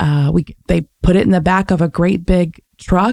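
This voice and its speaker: In a Midwestern accent, the voice has a dark, mellow tone and ordinary pitch variation, with a dry, close sound and no echo. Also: woman. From US Midwest, Michigan. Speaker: podcast guest, relocated professional. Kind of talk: interview conversation.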